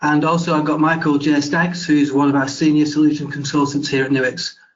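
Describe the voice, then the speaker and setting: Audible room echo surrounds a man speaking at a fairly quick pace with a fairly high pitch. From UK. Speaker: webinar host, investigations lead. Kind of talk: webinar presentation.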